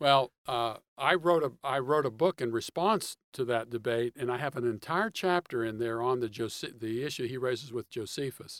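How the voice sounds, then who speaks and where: A man speaks with an unremarkable speaking voice and an American accent, at a medium pitch and moderate pace with ordinary pitch variation, on a very clean recording with a silent background. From Pittsburgh, Pennsylvania. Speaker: author and theology writer. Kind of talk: interview.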